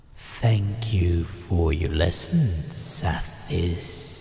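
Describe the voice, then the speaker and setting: A put-on character voice with a very deep, low pitch speaks very slowly over clear background noise. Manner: calm.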